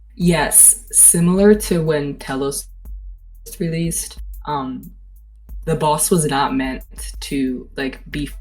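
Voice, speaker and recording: Music plays in the background as a woman talks. She speaks at a very slow pace with long, frequent pauses. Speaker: podcast host. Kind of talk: casual podcast talk.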